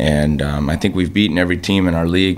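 A man's very deep, low voice. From Minnesota, US. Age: 30s. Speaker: ice hockey player; guest. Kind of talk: interview. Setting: radio studio. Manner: hesitant, many fillers. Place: studio. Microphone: studio mic.

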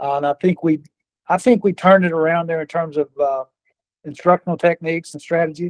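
Very fast delivery with fairly even intonation over a quiet background. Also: man. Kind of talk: interview answer. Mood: reminiscing, warm. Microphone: phone line.

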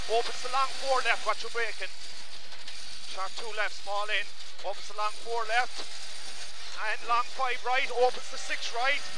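Long, frequent pauses break up a man's speech, the sound dry with no echo and noticeable noise in the background. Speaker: rally co-driver. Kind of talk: rapid-fire rally pacenotes read over in-car intercom at full speed. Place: car. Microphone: headset.

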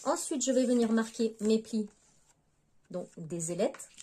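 A woman speaks at a fairly slow pace with a fairly high pitch and ordinary pitch variation. Her tone is dark and mellow, with a slightly husky edge.

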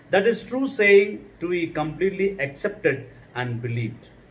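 The man's voice is somewhat breathy. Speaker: preacher. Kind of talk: sermon; sermon, scripture reading. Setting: video sermon. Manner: fervent, animated preaching, rising and urgent with repeated emphatic phrases; commanding, declamatory exhortation with repetition, like a pulpit appeal. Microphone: phone near.

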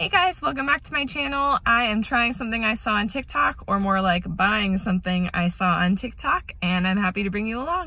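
Against a quiet background, a woman speaks at a fairly quick pace with hardly any pauses, in a dry sound with no echo. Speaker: mom vlogger. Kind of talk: casual vlog chat. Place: car. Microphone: phone near.

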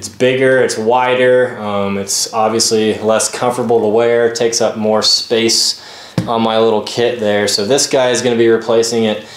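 The man's intonation is monotone and flat. He keeps a moderate pace, and the room echo is audible. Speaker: gear reviewer. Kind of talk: product review tutorial. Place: home room.

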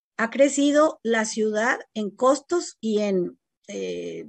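The recording is dry with no echo and a quiet background, carrying a woman's fairly high-pitched voice. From Mexico, Monterrey; Nuevo León, Mexico. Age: 50s. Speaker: education company co-founder. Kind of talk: interview. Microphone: video call.

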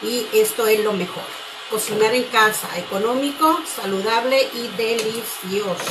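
With music in the background, a woman speaks at a fairly slow pace. Her fairly high voice shows ordinary pitch variation. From Guatemala. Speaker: cooking channel host. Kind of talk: live cooking demonstration. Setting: home kitchen, live stream. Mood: warm, cheerful. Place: kitchen. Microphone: phone near.

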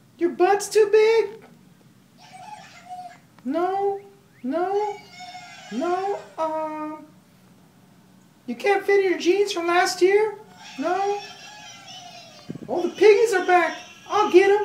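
An extremely high-pitched cartoonish character voice at a very slow pace, with long, frequent pauses. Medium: puppet. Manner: playful, energetic.

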